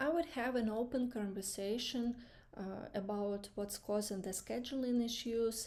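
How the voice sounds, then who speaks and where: A woman speaks with a non-native accent at a fairly high pitch. Her pace is fairly slow, with ordinary pitch variation. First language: not English. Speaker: student practicing job interview answers. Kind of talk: mock interview answers. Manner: halting, many fillers.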